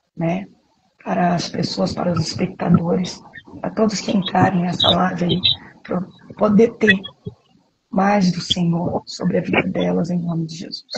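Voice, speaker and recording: A soft-spoken woman with a fairly low pitch, fairly even intonation, a moderate pace and long, frequent pauses. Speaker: preacher. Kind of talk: live stream sermon. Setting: live stream from home apartment.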